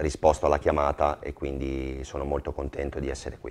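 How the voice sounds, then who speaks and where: At a moderate pace, a man talks in a dark, mellow tone with a Venetian accent. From Veneto, Motta di Livenza; Veneto. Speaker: football goalkeeper; guest. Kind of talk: TV talk show interview. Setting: TV studio with audience. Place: studio. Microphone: lapel.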